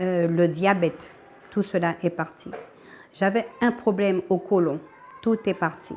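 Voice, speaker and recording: Speaking very slowly with long, frequent pauses, a woman keeps a medium pitch, fairly even intonation and very even loudness. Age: 60s. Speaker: church member giving testimony. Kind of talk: testimony. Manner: halting.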